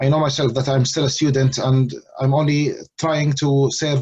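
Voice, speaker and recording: Somewhat breathy, the speaker talks in a monotone, flat intonation with an Arabic accent. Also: man. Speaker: Islamic lecturer. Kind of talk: lecture. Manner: halting, many fillers.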